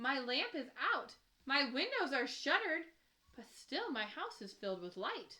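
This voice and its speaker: Putting on a character voice, a woman speaks high with very wide pitch swings. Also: moderate pace. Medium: read story. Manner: gruff, curt.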